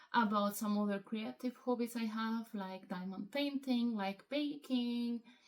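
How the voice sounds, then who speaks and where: Over noticeable background noise, a woman with a fairly high pitch speaks at a fairly slow pace with fairly even intonation and hardly any pauses. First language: Spanish. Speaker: hobby vlogger. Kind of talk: casual vlog monologue. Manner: hesitant, many fillers.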